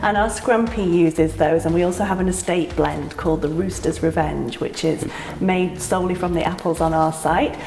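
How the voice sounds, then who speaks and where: Fairly even intonation at a moderate pace with a British accent, amid noticeable background noise and audible room echo. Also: woman, fairly low pitch for a woman. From UK. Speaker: cidery owner. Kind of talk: casual interview. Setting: on location at a cidery.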